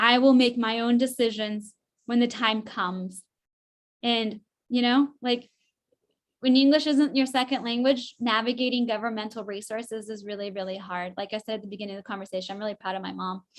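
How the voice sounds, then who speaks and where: In a normal speaking voice with an American accent, a woman talks at a fairly quick pace with fairly even intonation and big swings in loudness. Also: fairly high pitch for a woman. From Northern California (rural). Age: 30s. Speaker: political candidate. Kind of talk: candidate forum answer.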